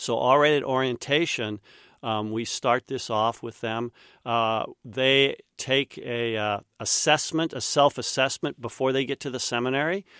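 With an American accent, a man speaks at a moderate pace and medium pitch with fairly even intonation and a bright, sharp tone, in a very clean recording with a silent background and a dry, close sound with no echo. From Kansas, US Midwest. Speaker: seminary professor. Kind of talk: interview. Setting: studio.

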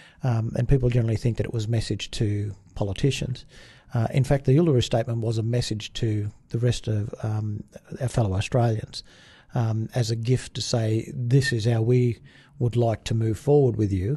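A man speaks at a medium pitch and a moderate pace. His somewhat breathy voice has a dark, mellow tone and fairly even intonation. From Australia, outback New South Wales (Brewarrina). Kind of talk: interview. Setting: studio. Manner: hesitant, many fillers.

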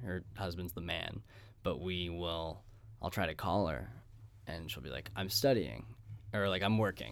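At a moderate pace, a man with a very deep, low voice and vocal fry uses lively intonation and leaves long, frequent pauses. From Pittsburgh. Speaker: podcast host. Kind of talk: casual interview. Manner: animated.

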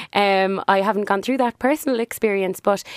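A woman speaks in a Cork accent at medium pitch. Her pace is moderate and her pitch variation ordinary. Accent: Cork Irish. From Ireland. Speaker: business owner. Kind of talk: casual interview.

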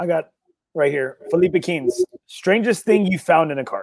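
A man with a high pitch and an American accent speaks in a dry, close sound with no echo. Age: 40s. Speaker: golf podcast host. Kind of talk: casual interview chat. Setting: on a golf course.

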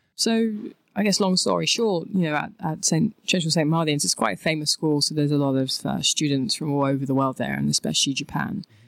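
In a London accent, a woman speaks at a fairly quick pace with a very deep, low pitch, very wide pitch swings and very even loudness, in a very clean recording with a silent background and a dry, close sound with no echo. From southeast London, England. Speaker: artist. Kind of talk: interview. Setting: studio.

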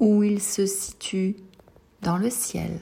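A woman's somewhat breathy voice, calm and soothing in tone, dark and mellow, at a very slow pace. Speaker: sophrologist. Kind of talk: guided meditation. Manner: slow, soothing, gentle; calm, reassuring, addressing a child as tu.

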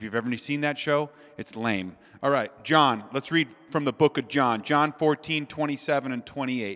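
With an American accent, a man speaks in a bright, sharp, animated tone at a fairly high pitch with ordinary pitch variation and a moderate pace, in a very clean recording with a silent background. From Minnesota. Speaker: preacher. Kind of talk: sermon. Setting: stage with audience.

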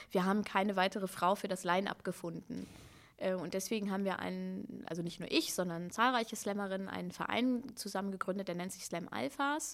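A woman uses a normal speaking voice, medium in pitch with ordinary pitch variation, at a fairly quick pace. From Hannover, northern Germany. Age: 30s. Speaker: slam poet and author. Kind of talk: casual interview.

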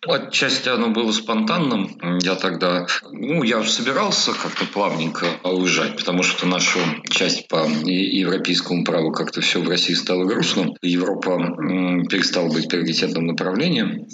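Speaking at a moderate pace, a man keeps his loudness very even while noticeable background noise and audible room echo surround him. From Russia, Moscow. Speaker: immigration lawyer. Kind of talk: interview.

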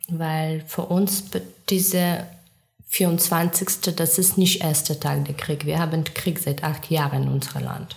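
Through noticeable background noise, a woman talks very slowly in a fairly low pitch, with monotone, flat intonation. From Ukraine. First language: Ukrainian or Russian (speaking German). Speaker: war refugee. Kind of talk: interview. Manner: halting non-native phrasing.

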